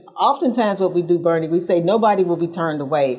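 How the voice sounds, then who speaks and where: The woman's voice has a dark, mellow tone. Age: 70s. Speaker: civil rights activist. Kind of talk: TV interview. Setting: TV show.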